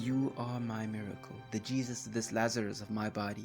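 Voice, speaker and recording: Music plays in the background as a man with a fairly low pitch talks at a fairly slow pace. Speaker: spoken word poet. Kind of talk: spoken word poetry performance.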